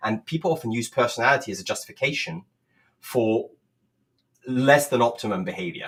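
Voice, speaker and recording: With a slight French accent, a man talks fairly quickly at a medium pitch, his intonation lively and broken by long, frequent pauses. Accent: very slight French, near-native English. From France. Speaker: communication coach. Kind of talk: livestream presentation. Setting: live video stream.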